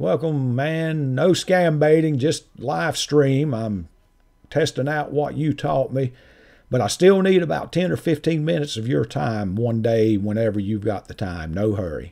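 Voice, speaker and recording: Heard in a very clean recording with a silent background, a man with a Southern accent speaks at a fairly slow pace and a fairly high pitch, his dark, mellow tone moving in very wide pitch swings. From North Carolina. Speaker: scam-baiting YouTuber. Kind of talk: live stream chat.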